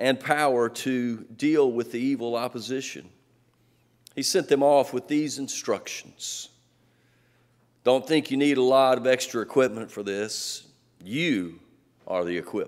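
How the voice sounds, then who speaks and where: A man talks at a fairly slow pace with long, frequent pauses and ordinary pitch variation. The background is quiet. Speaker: pastor preaching. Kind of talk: sermon. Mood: light humor then earnest. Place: church.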